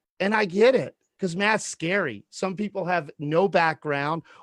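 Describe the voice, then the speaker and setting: Loud and high-pitched, a man speaks at a moderate pace with a dry, close sound and no echo. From Louisiana. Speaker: real estate educator. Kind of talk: casual chat. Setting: video call. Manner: projecting.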